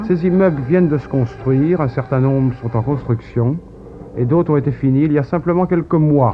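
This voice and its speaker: A man's fairly high voice at a moderate pace, with ordinary pitch variation over noticeable background noise. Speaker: travel filmmaker narrating his footage. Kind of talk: TV interview answer, voice-over commentary.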